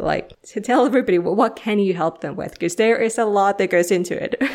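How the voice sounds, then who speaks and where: Ordinary pitch variation shapes this woman's speech in a Finnish accent. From Finland. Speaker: podcast host. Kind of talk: interview.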